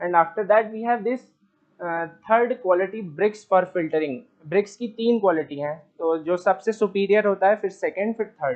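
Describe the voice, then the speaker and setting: With an Indian accent, a man speaks in a high pitch for a man and uses ordinary pitch variation. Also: moderate pace. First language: Hindi. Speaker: student. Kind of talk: class presentation. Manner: halting.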